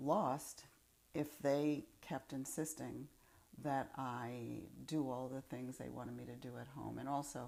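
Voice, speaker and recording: In a New York accent, a woman speaks at a very slow pace with a very deep, low pitch, vocal fry, a dark, mellow tone, fairly even intonation, and big swings in loudness. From Upper Manhattan, New York City. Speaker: former college student, oral history interviewee. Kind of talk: interview answer. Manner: reflective, hesitant.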